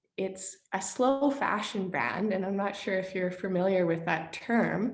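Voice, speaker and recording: A woman with a Canadian accent uses an ordinary speaking voice at a medium pitch, with ordinary pitch variation and a fairly slow pace. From Saskatchewan, Canada. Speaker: clothing business owner. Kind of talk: interview answer.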